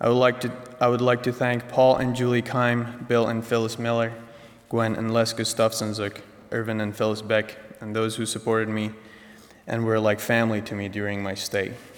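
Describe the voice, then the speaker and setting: A man with a Persian accent speaks at a moderate pace in a medium pitch, his intonation monotone and flat, with noticeable background noise behind him. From Iran, Tehran. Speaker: college senior. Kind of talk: speech. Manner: formal.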